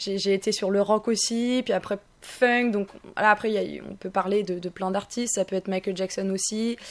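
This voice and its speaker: A woman at medium pitch, monotone and flat, at a moderate pace. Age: 20s. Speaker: singer. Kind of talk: radio interview. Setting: radio studio.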